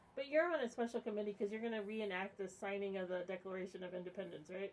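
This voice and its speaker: A woman talks very fast at a medium pitch with ordinary pitch variation. Noticeable background noise is present. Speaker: radio host. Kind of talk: radio interview host.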